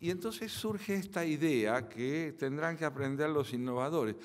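In an Argentine accent, a man speaks at a moderate pace with lively intonation. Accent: Argentine Spanish (Rioplatense). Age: 70s. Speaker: philosopher and lecturer; lecturer. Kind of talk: lecture. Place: hall. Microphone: podium.

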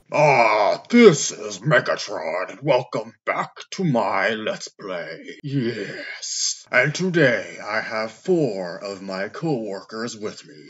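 With hardly any pauses, a man in a put-on character voice of medium pitch speaks at a very slow pace. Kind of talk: comedic gaming parody with character voices. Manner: commanding, pompous.

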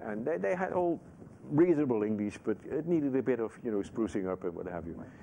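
A man with a Dutch accent speaks very fast with very wide pitch swings over light background noise. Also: medium pitch for a man. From Netherlands. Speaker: Sikh activist and former chaplain. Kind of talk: interview answer. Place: studio.

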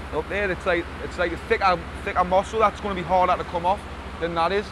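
Monotone, flat delivery from a man at a fairly quick pace, dry with no echo, with noticeable background noise. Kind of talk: interview answer.

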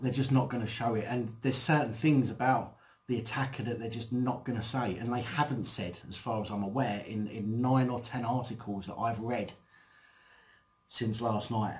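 His intonation stays fairly even, and the man's voice is somewhat breathy. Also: moderate pace. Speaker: channel host. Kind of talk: casual vlog chat. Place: home room.

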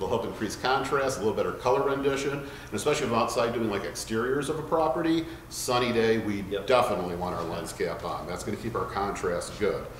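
A man talks at a very fast pace over light background noise. Room echo is audible. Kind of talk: tutorial. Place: shop.

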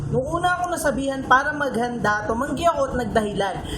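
A woman with a high pitch speaks in a raised, projected voice at a fairly quick pace over noticeable background noise. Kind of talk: spoken word poetry; reflective, intimate monologue addressed to a loved one, poetic Tagalog.

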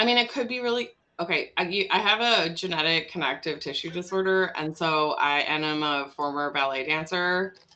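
A woman with an American accent, fairly low in pitch, bright and sharp in tone, lively in intonation, at a moderate pace with hardly any pauses. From US Midwest, Wisconsin (Milwaukee area); Wisconsin. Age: 40s. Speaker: immigration lawyer and nonprofit co-founder; immigration lawyer. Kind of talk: casual interview. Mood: humorous, candid. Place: home room. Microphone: video call.

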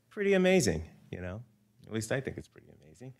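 With a quiet background, a man is talking. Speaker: speaker. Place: hall. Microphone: podium.

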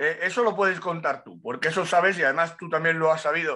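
Against a quiet background, a man talks at a fairly quick pace with a high pitch. His tone is bright and sharp, with ordinary pitch variation. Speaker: motorcycle racing pundit. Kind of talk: casual chat. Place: home room. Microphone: webcam.

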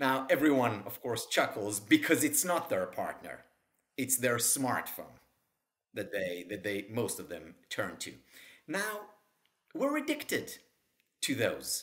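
Over a quiet background, this speaker uses vocal fry and very wide pitch swings at a fairly slow pace, with long, frequent pauses. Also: man, medium pitch for a man. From Israel. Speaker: psychology professor and author; psychology professor. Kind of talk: interview. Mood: warm, smiling, animated. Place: home room. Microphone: webcam.

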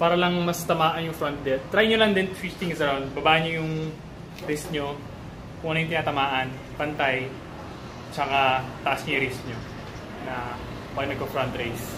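With noticeable background noise behind him, a man speaks at a moderate pace, broken by long, frequent pauses. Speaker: fitness vlogger. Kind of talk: tutorial. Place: garage. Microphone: phone near.

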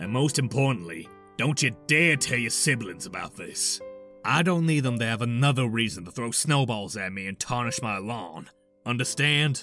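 A man's put-on character voice at medium pitch and moderate pace, with faint music in the background. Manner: subdued, solemn, gruff.

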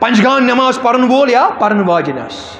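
Amid light background noise and audible room echo, a man speaks at an extremely high pitch with ordinary pitch variation. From Kashmir. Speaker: Islamic preacher. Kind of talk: sermon. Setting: mosque. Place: home room. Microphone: headset.

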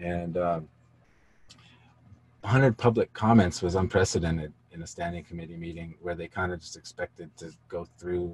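Low-pitched and moderate in pace, a man talks with a slightly mellow tone, a slightly husky edge and fairly even intonation.

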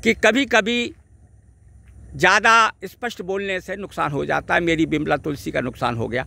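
Raised and projected, a man's high-pitched voice has a bright, sharp tone and very wide pitch swings, moving at a fairly slow pace with long, frequent pauses in a dry sound with no echo. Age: 60s. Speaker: ayurvedic herb video blogger; plant enthusiast vlogger. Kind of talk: outdoor vlog talk. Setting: outdoors by a river. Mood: regretful, explanatory. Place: waterside. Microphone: phone near.

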